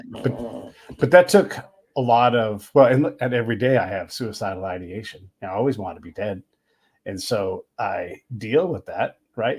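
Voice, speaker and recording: At a moderate pace, a man with a normal speaking voice talks at medium pitch with lively intonation and big swings in loudness, on a very clean recording with a silent background. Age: 50s. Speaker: podcast host and military veteran. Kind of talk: casual interview conversation.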